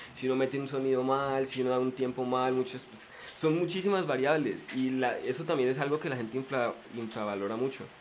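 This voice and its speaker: Fairly quick delivery from a man with a medium pitch. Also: ordinary pitch variation. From Colombia, Popayán (Cauca). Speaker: podcaster. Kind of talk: casual chat. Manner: soft-spoken.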